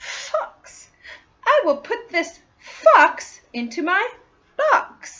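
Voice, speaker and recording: A woman's put-on character voice, extremely high-pitched with very wide pitch swings, at a very slow pace with long, frequent pauses. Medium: read story. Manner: bright, eager.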